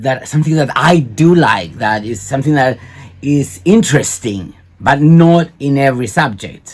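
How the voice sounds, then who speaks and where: This man's voice sits at a fairly high pitch with ordinary pitch variation. He talks at a fairly slow pace. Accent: Cypriot. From Cyprus. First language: Greek. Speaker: video blogger. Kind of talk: commentary on a recording. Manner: halting.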